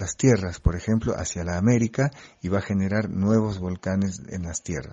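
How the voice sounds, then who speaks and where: A man speaks with a French accent. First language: French (speaking Spanish). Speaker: geographer. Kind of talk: explanatory interview for children.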